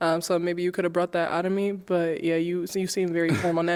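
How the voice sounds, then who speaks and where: A woman's fairly low voice at a very fast pace, with noticeable background noise. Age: 20s. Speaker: dating show contestant. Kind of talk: casual chat.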